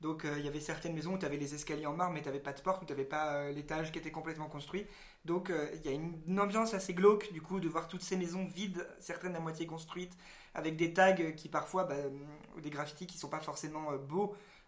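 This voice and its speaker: Over noticeable background noise and audible room echo, a man with a fairly high pitch talks very fast with fairly even intonation. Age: 20s. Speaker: podcast host, stage actor and playwright. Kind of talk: casual chat.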